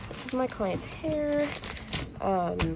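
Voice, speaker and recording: There's noticeable noise in the background. The speaker is a woman. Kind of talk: casual vlog chat. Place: shop. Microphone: phone near.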